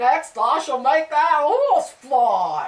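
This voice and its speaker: A woman performs a put-on character voice at a high pitch with very wide pitch swings. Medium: read story. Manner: screaming.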